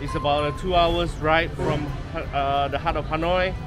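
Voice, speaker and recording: Against clear background music, a man's voice comes through dry with no echo. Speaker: travel vlogger. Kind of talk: casual vlog chat. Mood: relaxed, mildly excited. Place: street. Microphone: phone near.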